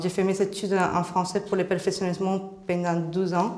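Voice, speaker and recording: A woman with a Spanish accent at medium pitch, monotone with flat intonation, at a moderate pace over noticeable background noise. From Colombia. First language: Spanish (speaking French). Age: 30s. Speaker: job seeker. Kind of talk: job interview.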